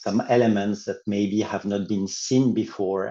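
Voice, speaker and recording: Against a quiet background, a man talks at a fairly slow pace with a fairly low pitch and a dark, mellow tone. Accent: French. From France. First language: French. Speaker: law professor. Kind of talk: academic panel discussion.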